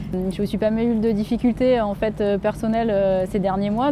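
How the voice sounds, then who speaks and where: Speaking with a southern French accent, a woman keeps her intonation fairly even at a moderate pace amid noticeable background noise. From Montélimar, Drôme, southeast France. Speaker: trail runner. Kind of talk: interview. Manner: halting, many hesitations.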